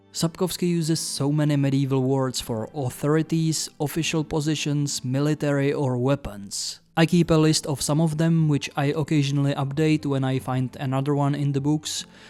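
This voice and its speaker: This man speaks with a Czech accent at a moderate pace. His tone is dark and mellow, his intonation fairly even. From Czech Republic. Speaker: YouTuber, book reviewer. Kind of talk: video essay.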